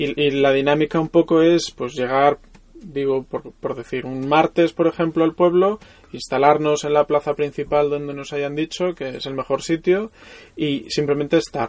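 A fairly high-pitched man at a moderate pace, intonation fairly even, in a dry, close sound with no echo. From Mallorca, Spain. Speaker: photographer. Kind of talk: casual interview. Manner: halting, with repetitions.

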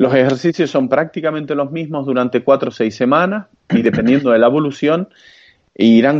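A man keeps a moderate pace, his intonation lively. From Canary Islands (Santa Cruz de Tenerife). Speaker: strength training expert. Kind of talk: interview.

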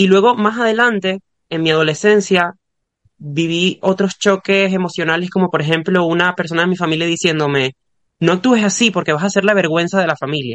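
A man with a high pitch talks at a fairly quick pace, showing ordinary pitch variation. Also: dry, close sound with no echo. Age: 20s. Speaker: podcast guest. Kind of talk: casual chat.

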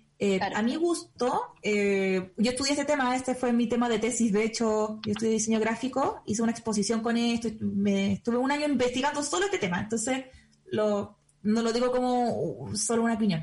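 There is noticeable background noise as a woman talks at a fairly quick pace. Her loudness stays very even, and her pitch varies in an ordinary way. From Chile. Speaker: podcast host. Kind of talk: casual chat; lecture.

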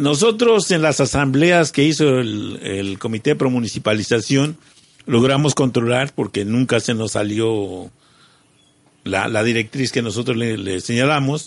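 Here a man talks with ordinary pitch variation. His is an unremarkable speaking voice. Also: medium pitch for a man. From Mexico, Morelos. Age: 50s. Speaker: local businessman and community activist. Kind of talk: radio interview. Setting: community radio studio.

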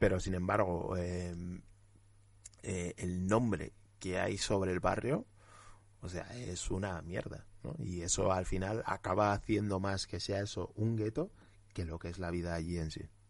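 A man's very deep, low pitch, fairly even intonation and fairly slow pace over a quiet background. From Spain, Huesca (Aragon). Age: 20s. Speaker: journalist and anti-racism activist. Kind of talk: interview.

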